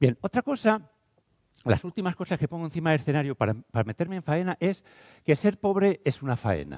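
In an animated tone, a man speaks at a fairly quick pace with a fairly high pitch and very wide pitch swings. The background is quiet. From Spain, Castile and León (Valladolid). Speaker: teacher and educational speaker. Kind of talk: conference talk. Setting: stage with audience. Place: hall.

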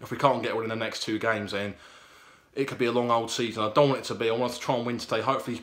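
Delivery from this man comes at a very fast pace. His intonation is monotone and flat. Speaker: football fan vlogger. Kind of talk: casual vlog chat. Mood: hopeful, slightly anxious. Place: home room. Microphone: phone near.

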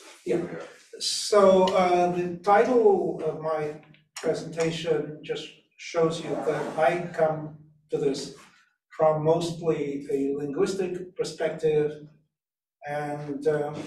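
With audible room echo and light background noise, a man speaks at a fairly high pitch with fairly even intonation. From Russia. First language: Russian. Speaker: interpreter and arms control expert, roundtable guest. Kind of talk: conference presentation. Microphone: video call.

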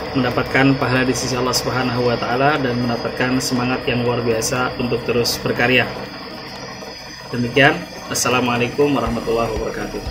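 A man talking at a very fast pace over noticeable background noise. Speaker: content creator. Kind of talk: congratulatory video message. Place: home room. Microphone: phone near.

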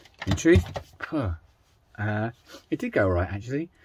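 The pace is moderate as this man talks. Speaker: DIY motorhome vlogger. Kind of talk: casual vlog chat. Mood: upbeat, lightly humorous. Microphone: phone near.

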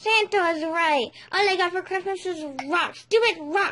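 At a moderate pace, the speaker puts on a character voice with an extremely high pitch. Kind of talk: comic overacting. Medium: comedy sketch. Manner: shouty, bragging, whiny.

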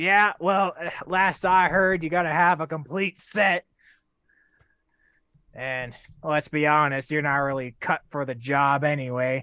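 A man puts on a character voice with a fairly high pitch, speaking fairly slowly. He leaves long, frequent pauses against a quiet background. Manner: defiant, mocking.

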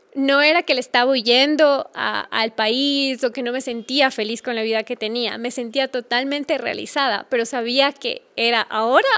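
This woman has a high pitch and fairly even intonation. She speaks at a moderate pace. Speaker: podcast guest, travel blogger. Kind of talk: interview answer. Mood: warm, reflective. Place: studio. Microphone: studio mic.

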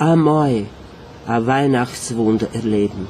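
A man talks very slowly in a Viennese accent, with ordinary pitch variation. Light background noise is present. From Romania. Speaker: theatre scenic painter. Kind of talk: poetry reading. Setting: live concert stage. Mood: nostalgic, tender. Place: stage. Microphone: camera far.

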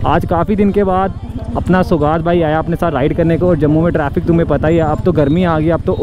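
A man's high pitch with monotone, flat intonation and very even loudness, fairly quick pace, and dry sound with no echo amid noticeable background noise. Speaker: motovlogger. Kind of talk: casual vlog chat. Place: motorbike.

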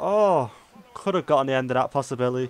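Pitched fairly high, a man talks with normal variation in his tone. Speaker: gaming YouTuber. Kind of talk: live gameplay commentary. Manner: excitable, reactive.

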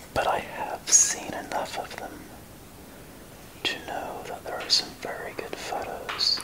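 Soft-spoken whispering at a very slow pace, with long, frequent pauses and noticeable background noise. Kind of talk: casual commentary. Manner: soft ASMR whisper.

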